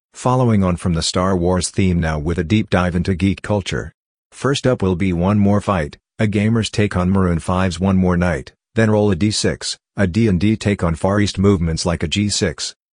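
A man with a very deep, low pitch at a moderate pace, over a quiet background. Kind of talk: radio DJ link. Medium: voice reel. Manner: upbeat, brisk.

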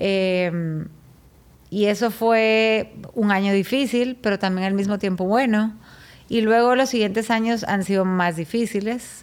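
On a very clean recording with a silent background, a woman with a normal speaking voice speaks at a fairly slow pace and a medium pitch. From Guatemala. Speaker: chef. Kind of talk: testimony.

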